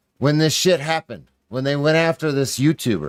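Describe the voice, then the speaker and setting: Recorded very cleanly with a silent background, a man's fairly high voice sounds dry and close with no echo. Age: 30s. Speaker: live streamer and video commentator. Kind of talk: live stream reaction commentary. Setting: live stream. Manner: animated.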